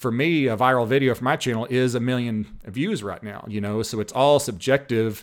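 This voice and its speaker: With ordinary pitch variation, an ordinary speaking voice goes along at a fairly quick speed. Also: man. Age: 30s. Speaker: diesel mechanic and YouTuber. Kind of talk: casual chat.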